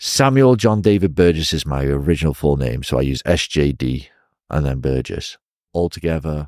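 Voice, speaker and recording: A man with a northern English accent, very deep and low in pitch, at a moderate pace with ordinary pitch variation. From northwest England (Chester area). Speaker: professional wrestler. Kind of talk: casual interview. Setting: recorded live in Shenzhen. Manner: animated.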